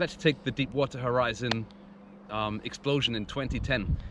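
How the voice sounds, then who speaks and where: The voice belongs to a man. Noticeable noise sits in the background. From Scotland, Glasgow. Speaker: teacher. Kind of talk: lecture.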